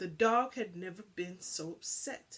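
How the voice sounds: A woman with a fairly low pitch, a fairly bright tone and a slightly husky edge speaks at a fairly slow pace with ordinary pitch variation.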